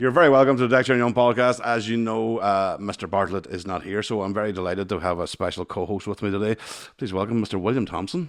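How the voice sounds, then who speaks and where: Speaking at a very fast pace, a man with a Northern Irish accent has a fairly low pitch and ordinary pitch variation. The background is quiet. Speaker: podcast host.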